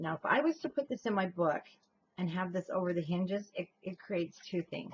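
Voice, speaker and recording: Somewhat breathy and fairly low in pitch, a woman speaks at a fairly quick pace with lively intonation, in a dry, close sound with no echo. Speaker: crafting tutorial host. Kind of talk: tutorial. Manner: breathy pauses before talking.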